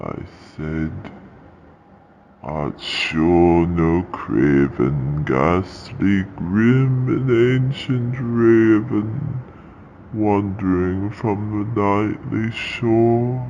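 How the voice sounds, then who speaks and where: A man with a fairly low pitch in a solemn, dramatic tone with lively intonation at a very slow pace. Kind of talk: horror narration. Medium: read story. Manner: slow, solemn, dramatic.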